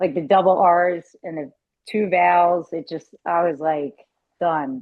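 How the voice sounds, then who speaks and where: A woman with a Philadelphia accent speaks at a fairly slow pace. Her pitch is very deep and low. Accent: Philly (Delco). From Philadelphia area (Delaware County), US. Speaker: car salesperson. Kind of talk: casual interview chat.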